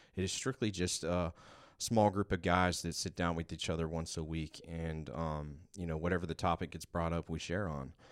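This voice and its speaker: A man with very deep, low pitch, fairly even intonation and a moderate pace, in a very clean recording with a silent background. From Georgia, US South. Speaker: recovery worker. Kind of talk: casual chat.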